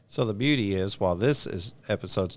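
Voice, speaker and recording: A man speaks with a Southern US accent in a very deep, low voice. The recording is very clean with a silent background. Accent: southern drawl. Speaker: podcast host. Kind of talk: casual interview.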